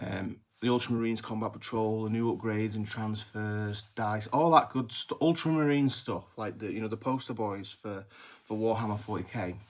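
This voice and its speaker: Fairly low in pitch, a man with an English accent speaks at a moderate pace with fairly even intonation. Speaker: miniatures maker and YouTuber. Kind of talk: casual vlog commentary. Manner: may drag S sounds; halting, many fillers and restarts.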